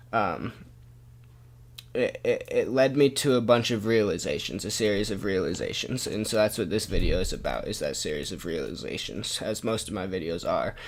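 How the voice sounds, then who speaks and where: A man at a moderate pace, with audible room echo. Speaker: video blogger. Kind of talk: casual vlog monologue. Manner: loud; halting, many fillers. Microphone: mic very close to mouth.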